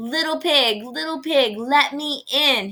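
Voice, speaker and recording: A woman puts on a character voice, high and growling. She delivers it at a fairly slow pace. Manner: growling, menacing.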